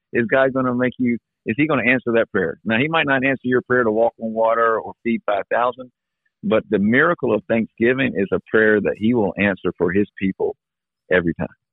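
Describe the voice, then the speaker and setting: At a fairly quick pace, a man talks in an ordinary speaking voice with a medium pitch and ordinary pitch variation. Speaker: pastor. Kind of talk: casual chat. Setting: phone call.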